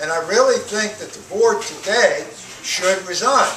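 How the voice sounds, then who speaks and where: A man talks fairly slowly in a space with audible room echo and noticeable background noise. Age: 60s. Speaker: retired college professor, school board candidate. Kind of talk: candidate forum answer. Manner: loud, projecting without microphone. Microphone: speaking without a microphone.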